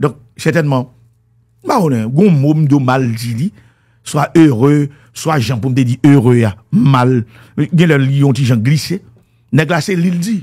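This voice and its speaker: In a Haitian accent, a man speaks very slowly with long, frequent pauses against a quiet background. His fairly high voice has a dark, mellow tone and is somewhat breathy. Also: ordinary pitch variation. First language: Haitian Creole (speaking French). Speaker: music commentator. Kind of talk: monologue commentary. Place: studio. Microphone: studio mic.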